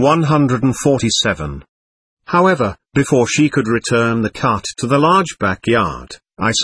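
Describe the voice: The voice is plain reading aloud. The background is quiet.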